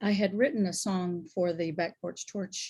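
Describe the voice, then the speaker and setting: In a very clean recording with a silent background, a woman with a fairly low, somewhat breathy voice speaks at a moderate pace with ordinary pitch variation. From Louisiana. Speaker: singer-songwriter. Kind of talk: casual chat.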